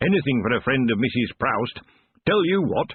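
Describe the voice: Text is read aloud plainly and with lively intonation, with quiet in the background.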